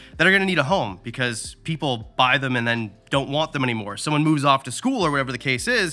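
Faint music plays in the background as a man speaks. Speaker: reptile youtuber. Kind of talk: casual vlog tour commentary. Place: shop. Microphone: phone near.

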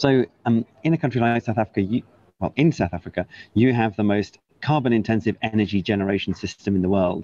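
In a Welsh accent, the speaker goes at a very fast pace with a dark, mellow tone, ordinary pitch variation and very even loudness, in a dry sound with no echo. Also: man, medium pitch for a man. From Wales. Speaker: government climate envoy. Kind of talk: news interview. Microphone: earbuds.

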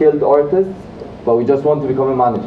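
The man's pitch is fairly high. Light background noise and audible room echo are present. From Egypt. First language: Arabic. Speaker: recent graduate giving a talk about his internship; guest lecturer. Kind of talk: motivational lecture. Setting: lecture room with live audience. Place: classroom. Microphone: camera far.

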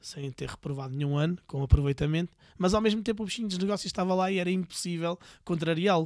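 A man speaks very fast with ordinary pitch variation. The sound is dry with no echo, over a quiet background. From Portugal, Viseu; Portugal. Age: 40s. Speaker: entrepreneur, tattoo business owner; podcast guest. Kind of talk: casual interview. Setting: in person, Viseu. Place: studio. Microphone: studio mic.

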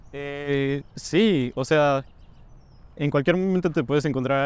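This is a man speaking. The sound is dry with no echo. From Peru, Cajamarca; Peru. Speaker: university student. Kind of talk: interview Q&A. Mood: friendly, relaxed. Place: street.

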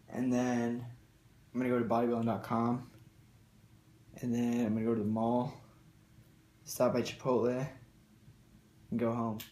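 A man's medium-pitched, dark, mellow voice in a monotone, flat intonation, very even in loudness, with long, frequent pauses and audible room echo. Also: moderate pace. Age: young. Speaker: fitness vlogger. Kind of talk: casual vlog. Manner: casual, filler-heavy. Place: home room. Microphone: phone near.

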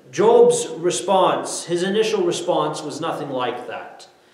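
A man talks at a very slow pace with audible room echo. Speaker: preacher. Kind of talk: sermon. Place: church.

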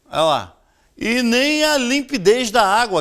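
A man with a Rio de Janeiro accent and very wide pitch swings, against a quiet background. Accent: Rio de Janeiro Brazilian Portuguese. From Rio de Janeiro state, Brazil. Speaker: TV news show host. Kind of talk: TV news commentary. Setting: studio. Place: studio. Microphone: lapel.

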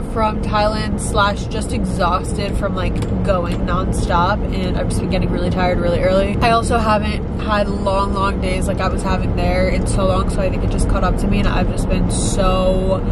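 A woman at a moderate pace with hardly any pauses, dry sound with no echo, and loud background noise. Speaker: vlogger. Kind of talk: casual vlog chat. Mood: chatty, upbeat. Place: car. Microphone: phone near.

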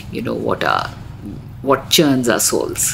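A woman talks at a fairly slow pace while noticeable background noise carries on around her. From India. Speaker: visual artist and photographer. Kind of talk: casual chat. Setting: office.

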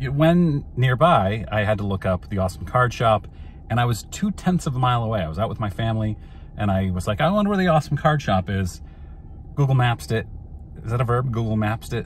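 A somewhat breathy voice at a fairly quick pace with very wide pitch swings, dry and free of echo, over light background noise. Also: man. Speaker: card collector vlogger. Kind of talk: casual vlog chat. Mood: cheerful, amused. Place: car. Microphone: phone near.

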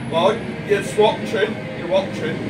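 Loud background noise plays while a man talks. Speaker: home bartender host. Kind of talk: casual vlog chat. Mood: jokey, relaxed. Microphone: camera far.

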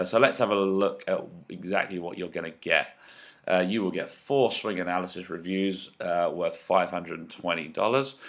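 On a very clean recording with a silent background, a man speaks fairly slowly in a very deep, low pitch. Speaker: golf coach. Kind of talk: sales pitch. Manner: monotone at times.

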